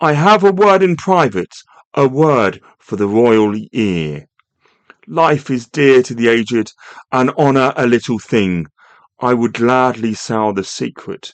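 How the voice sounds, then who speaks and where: A man puts on a shrill character voice at medium pitch. He goes at a fairly slow pace with very wide pitch swings. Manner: urgent, offering a secret.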